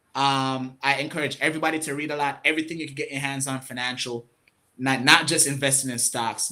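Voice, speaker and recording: This man talks at a very fast pace in a medium pitch. His tone is bright and sharp, and his intonation stays fairly even. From Jamaica. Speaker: financial coach and market analyst. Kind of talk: interview.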